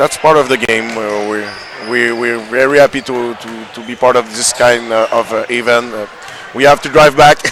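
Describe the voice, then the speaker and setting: Over noticeable background noise, a man at medium pitch talks at a moderate pace with fairly even intonation and big swings in loudness. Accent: Quebec. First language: French. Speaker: youth basketball team manager. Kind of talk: post-game interview. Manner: halting.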